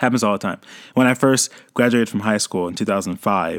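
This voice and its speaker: The recording is very clean with a silent background, and a man speaks at a fairly low pitch with ordinary pitch variation. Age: 30s. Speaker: podcast host. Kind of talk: casual monologue. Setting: home recording with USB mic.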